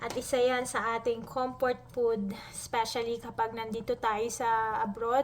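Speaking fairly slowly, a woman holds monotone, flat intonation at a fairly high pitch. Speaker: cooking vlogger. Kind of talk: cooking tutorial. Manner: halting.

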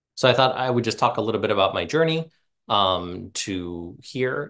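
In a quiet background, a man speaks at a moderate pace with ordinary pitch variation. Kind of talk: casual talk to an audience. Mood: warm, humorous, self-deprecating. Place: home room. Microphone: earbuds.

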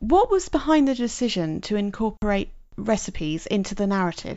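A woman with a British accent, medium pitch and a moderate pace. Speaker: podcast host. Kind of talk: interview.

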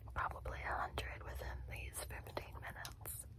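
A woman whispers at a moderate pace. Her tone sounds amused. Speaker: ASMR livestreamer. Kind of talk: soft casual ASMR chat. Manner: soft, hushed ASMR voice, amused. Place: home room. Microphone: phone near.

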